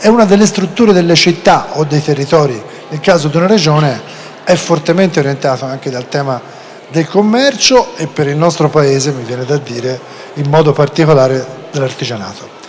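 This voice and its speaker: The speaker talks in a Florentine accent with lively intonation over noticeable background noise. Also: man, fairly high pitch for a man, fairly quick pace. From Florence, Tuscany. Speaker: panel moderator. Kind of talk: panel discussion moderation.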